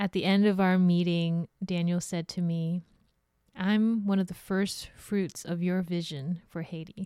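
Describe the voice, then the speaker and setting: On a very clean recording with a silent background and a dry, close sound with no echo, a woman speaks in a fairly low pitch with a dark, mellow tone and flat, monotone intonation. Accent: Californian. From Hong Kong, then San Francisco from age eight. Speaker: podcast host and social enterprise director. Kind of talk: personal storytelling monologue.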